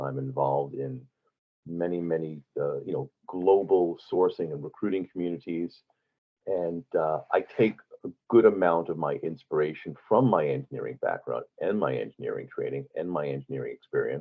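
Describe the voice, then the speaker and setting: Here is a man with a New York accent. He talks at a fairly quick pace. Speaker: recruiting expert. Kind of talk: interview. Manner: halting, many fillers.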